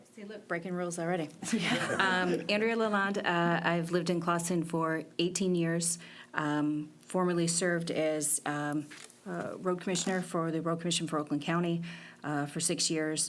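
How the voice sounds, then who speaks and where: A woman with a fairly low pitch speaks at a moderate pace in a flat, monotone manner, with audible room echo around her. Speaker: planning commissioner. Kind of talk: public meeting. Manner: loud.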